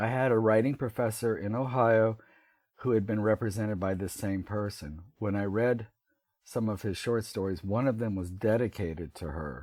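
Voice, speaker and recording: At a moderate pace, a man with an American accent speaks in a fairly low, unremarkable speaking voice with ordinary pitch variation. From US South. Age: 60s. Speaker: writer. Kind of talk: interview.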